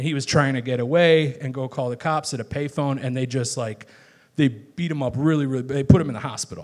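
In an American accent, a man with a normal speaking voice and a medium pitch shows ordinary pitch variation on a very clean recording with a silent background. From Chicago, northwest side. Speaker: guest at a live talk show, viral poet and video maker. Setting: live stage in a bar. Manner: casual, chatty storyteller.

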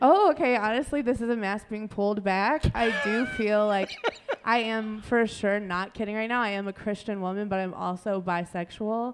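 Through noticeable background noise, a woman with a Midwestern American accent talks at a moderate pace, her fairly high pitch showing ordinary variation. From Ohio (Dayton). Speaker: comedian. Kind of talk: stand-up. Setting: stage with audience.

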